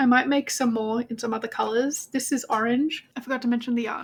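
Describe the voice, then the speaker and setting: A woman with an Australian accent speaks at a fairly quick pace. Her pitch is high. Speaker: crochet vlogger. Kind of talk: casual vlog chat. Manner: chatty.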